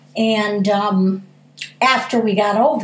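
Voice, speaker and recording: A woman with an American accent, amid noticeable background noise and audible room echo. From US Midwest, Pontiac, Michigan. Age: 60s. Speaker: school food service worker. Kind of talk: interview.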